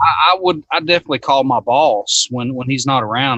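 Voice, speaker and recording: With a Southern US accent, a man speaks at a moderate pace and ordinary pitch variation. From US South. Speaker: HVAC technician. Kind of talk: casual chat.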